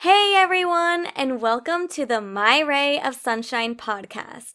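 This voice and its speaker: In a very clean recording with a silent background, a woman speaks fairly slowly in a high, raised, projected voice with a bright, sharp tone and very wide pitch swings. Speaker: podcast host. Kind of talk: casual podcast talk.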